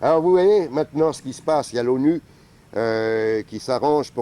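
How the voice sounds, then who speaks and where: The voice has lively intonation, heard against noticeable background noise. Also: man. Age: 60s. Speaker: travel documentary maker. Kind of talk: interview.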